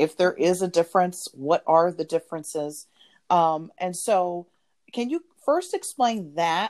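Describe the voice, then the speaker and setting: Her voice ordinary and her pitch fairly low, a woman talks at a fairly slow pace with ordinary pitch variation, in a dry, close sound with no echo. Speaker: business podcast host. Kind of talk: podcast interview.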